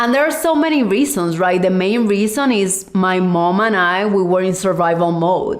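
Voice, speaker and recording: In a Puerto Rican accent, a woman of medium pitch speaks at a moderate pace with lively intonation, very even loudness and hardly any pauses, with noticeable background noise and audible room echo. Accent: largely Puerto Rican Spanish. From Cuba and Puerto Rico. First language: Spanish. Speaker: podcast host, life coach. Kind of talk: personal podcast monologue.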